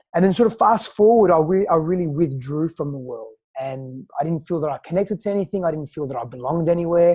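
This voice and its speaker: In an Australian accent, a high-pitched man speaks at a very fast pace with hardly any pauses and ordinary pitch variation. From Australia, early childhood in Greece. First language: Greek. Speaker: personal growth coach. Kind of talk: podcast interview, personal storytelling.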